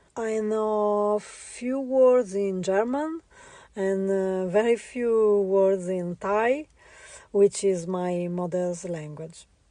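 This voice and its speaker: Here a woman talks with an Italian accent at a very slow pace. Her medium-pitched voice has a dark, mellow tone and ordinary pitch variation. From Italy. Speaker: visual artist. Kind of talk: interview. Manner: halting, many fillers.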